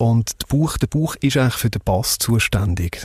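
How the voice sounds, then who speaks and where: The sound is dry and close, with no echo. A man with a medium pitch speaks in a somewhat breathy voice with lively intonation. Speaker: former radio host and audio branding founder. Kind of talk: interview. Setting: mobile podcast studio vehicle.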